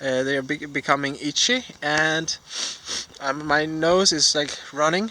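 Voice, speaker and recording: A man's fairly high voice with a Danish accent, ordinary pitch variation and a very slow pace. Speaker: vlogger. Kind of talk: casual vlog monologue. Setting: outdoors while cycling. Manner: halting, many fillers.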